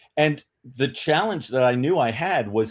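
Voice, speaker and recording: Over a very clean recording with a silent background, a man with an American accent talks in a normal speaking voice, at a fairly high pitch and moderate pace with lively intonation. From New York City. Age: 60s. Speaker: retired police officer and literacy advocate. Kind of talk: interview.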